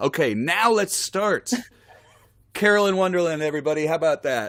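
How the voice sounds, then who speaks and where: Talking at a fairly quick pace, a high-pitched man uses lively intonation with very even loudness. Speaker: singer-songwriter and guitarist hosting a live stream. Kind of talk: live stream interview chat. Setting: live stream video call. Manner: soft-spoken.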